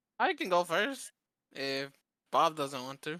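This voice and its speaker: A shaky, put-on character voice at a middle pitch comes at a fairly slow pace in a very clean recording with a silent background. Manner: nervous, tries to sound confident.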